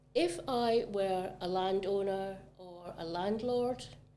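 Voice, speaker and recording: Audible room echo surrounds a woman's dark, mellow voice and its fairly even intonation. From Scotland, Glasgow area. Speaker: real estate agent. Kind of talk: casual chat.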